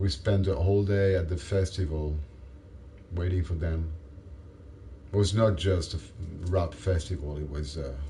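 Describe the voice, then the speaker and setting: A man's very deep, low voice at a moderate pace, fairly even in intonation, broken by long, frequent pauses, with noticeable background noise. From France. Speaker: gaming livestreamer. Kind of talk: casual chat.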